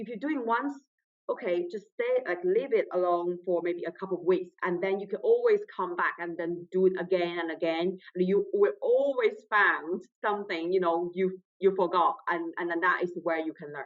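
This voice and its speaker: A woman with a non-native accent talks at a moderate pace and medium pitch, with ordinary pitch variation and big swings in loudness. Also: hardly any pauses. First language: not English. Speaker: trainee solicitor, exam candidate. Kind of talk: interview testimonial. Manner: halting, with repetitions.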